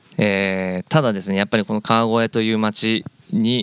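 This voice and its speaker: This man's delivery is fairly slow. His voice sounds dry and close, free of any echo. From Japan, Kawagoe (Saitama). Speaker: family business executive (soy sauce maker). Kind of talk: interview. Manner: halting, many fillers.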